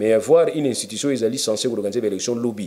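The pace is very fast. Light background noise can be heard. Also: man. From DR Congo. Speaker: lawyer and political commentator; lawyer, political commentator. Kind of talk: interview. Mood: animated, argumentative. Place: office.

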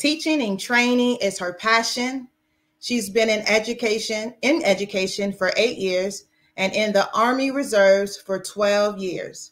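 A woman talks at a fairly slow pace. Her pitch varies in an ordinary way. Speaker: event organizer. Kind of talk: formal welcome. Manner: formal. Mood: warm, smiling.

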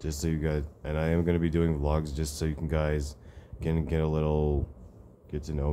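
Over light background noise, a man talks in a very deep, low pitch with monotone, flat intonation. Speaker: vlogger. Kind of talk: casual vlog chat. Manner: drowsy, halting talk in bed. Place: home room. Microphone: phone near.

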